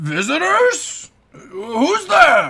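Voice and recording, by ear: This is a put-on character voice, pitched fairly high. It comes across gruff.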